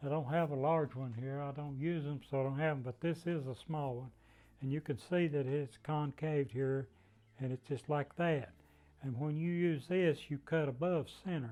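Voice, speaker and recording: In a Southern Appalachian accent, a man talks at a moderate pace with a fairly high pitch, a dark, mellow tone and fairly even intonation. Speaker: wood turner. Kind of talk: craft demonstration.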